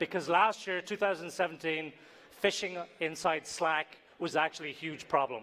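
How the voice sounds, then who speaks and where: A man speaks with an Irish accent. His fairly high voice has a bright, sharp tone. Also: moderate pace. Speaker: tech company CEO, conference speaker. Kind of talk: conference talk.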